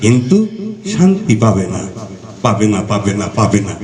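Noticeable background noise under a male voice swinging very widely in pitch. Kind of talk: poetry reading.

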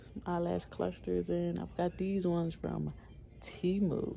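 Light background noise sits behind a woman as she talks. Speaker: mother vlogger. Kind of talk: casual vlog chat. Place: home room. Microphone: phone near.

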